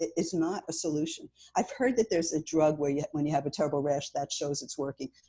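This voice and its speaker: This woman has a very deep, low pitch and a dark, mellow tone. Her voice is somewhat breathy, with ordinary pitch variation. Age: 70s. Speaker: cancer survivor and patient advocate. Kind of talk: interview.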